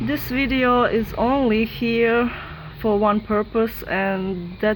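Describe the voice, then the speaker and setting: Noticeable background noise runs under this recording. A woman with a non-native accent speaks at a fairly high pitch with ordinary pitch variation. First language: not English. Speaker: YouTuber debunking sky videos. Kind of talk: casual video commentary. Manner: halting, hesitant.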